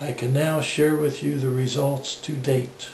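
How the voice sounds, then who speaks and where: Over noticeable background noise and audible room echo, a man speaks fairly slowly at a fairly high pitch in a flat monotone. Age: 60s. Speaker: patient giving testimonial. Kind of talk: testimony. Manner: measured, formal.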